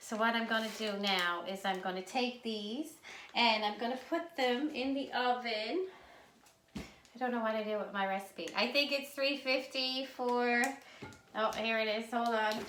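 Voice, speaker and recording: In a Newfoundland accent, a woman with a fairly high pitch and ordinary pitch variation speaks at a fairly slow pace amid audible room echo. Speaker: home cooking video host. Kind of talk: cooking tutorial. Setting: home kitchen. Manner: casual, chatty.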